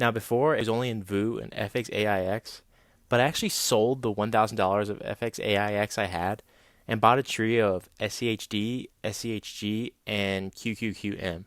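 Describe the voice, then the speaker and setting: A man with an unremarkable speaking voice and a fairly low pitch, at a moderate pace with fairly even intonation, on a very clean recording with a silent background. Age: 20s. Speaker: personal finance vlogger. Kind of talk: scripted narration.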